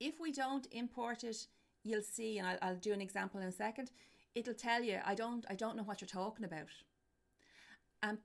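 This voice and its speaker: A woman speaks with an Irish accent. Her pitch is fairly high, with ordinary variation. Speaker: university lecturer. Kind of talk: lecture. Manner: loud.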